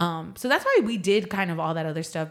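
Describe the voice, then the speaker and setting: The speaker talks at a fairly quick pace in a San Antonio accent. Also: woman. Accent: Texan, San Antonio. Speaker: singer-songwriter. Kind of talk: casual interview chat.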